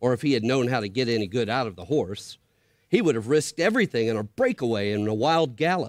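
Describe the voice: Lively intonation over plain reading aloud.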